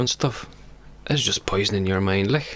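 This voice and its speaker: Noticeable background noise sits behind a man with a fairly low pitch. His intonation stays fairly even. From Lithuania. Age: 20s. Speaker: podcast guest. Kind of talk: casual chat.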